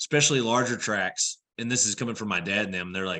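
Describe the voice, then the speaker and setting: A man speaks in a Texan accent at a medium pitch. His tone is bright and sharp against a quiet background. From Texas, San Angelo area. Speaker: land investor and rancher. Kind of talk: podcast interview. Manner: casual, halting with self-corrections.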